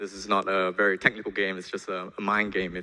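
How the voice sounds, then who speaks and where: The speaker is a man with a bright, sharp tone. He goes at a very fast pace. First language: not English. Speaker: conference speaker, programmer. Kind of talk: conference talk.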